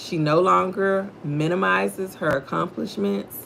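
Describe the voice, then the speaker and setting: Speaking at a fairly slow pace, a woman uses a very deep, low pitch with vocal fry and very wide pitch swings. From Texas, Houston. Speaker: livestream host, faith devotional. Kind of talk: devotional livestream talk.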